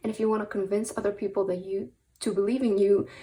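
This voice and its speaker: A woman with a non-native accent speaks very fast in a dark, mellow tone, her intonation fairly even. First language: not English. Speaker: tarot reader. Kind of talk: tarot reading. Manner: frequent fillers (um, uh); hesitant, repeats words.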